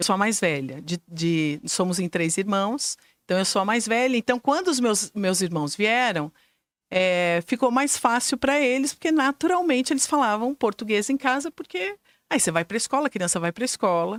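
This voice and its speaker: Her pitch is fairly high and swings very widely as this woman speaks at a moderate pace. The recording is very clean with a silent background, and the sound is dry and close with no echo. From Brazil, Curitiba. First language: German (speaking Portuguese). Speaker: school director and educator. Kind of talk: interview.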